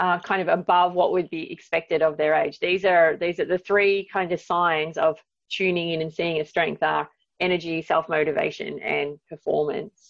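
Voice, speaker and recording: Moderate pace and fairly even intonation, in an Australian accent. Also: woman, fairly low pitch for a woman. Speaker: psychology professor. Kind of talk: interview.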